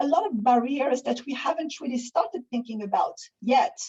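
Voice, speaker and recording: A woman with a French accent, high-pitched with a dark, mellow tone, lively intonation and a moderate pace. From France, of North African origin. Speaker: information science professor. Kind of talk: academic seminar talk. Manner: halting, many fillers.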